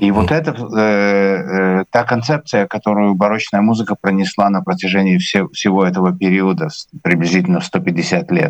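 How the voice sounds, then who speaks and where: This man has an ordinary speaking voice, pitched fairly low, with lively intonation. He talks at a moderate pace, and the sound is dry and close with no echo. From Latvia, Riga. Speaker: musician and conductor. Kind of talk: interview.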